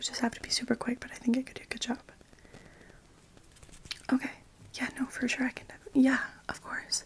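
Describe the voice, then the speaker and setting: Whispering at a very fast pace with long, frequent pauses, a woman speaks over noticeable background noise. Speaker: hairdresser in roleplay. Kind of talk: ASMR haircut roleplay. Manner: soft-spoken.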